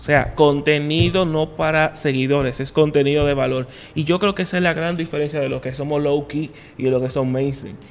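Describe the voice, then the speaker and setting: A man with an ordinary speaking voice and a fairly high pitch talks at a fairly quick pace with fairly even intonation. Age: 30s. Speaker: podcast host. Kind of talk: casual chat.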